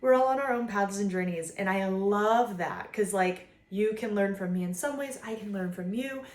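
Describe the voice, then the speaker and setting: At a fairly quick pace, a woman talks at a medium pitch with ordinary pitch variation in an unremarkable speaking voice. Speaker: vlogger, mother. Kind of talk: casual monologue to camera. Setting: filming at home. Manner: casual, filler-heavy.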